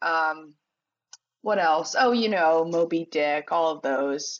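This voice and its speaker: Very slowly, a woman speaks at a very deep, low pitch. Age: 20s. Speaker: arts writer. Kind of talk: casual chat.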